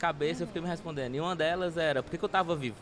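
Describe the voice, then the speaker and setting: Here a man is speaking. His pitch is fairly high. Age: 20s. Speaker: social project founder. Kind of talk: interview.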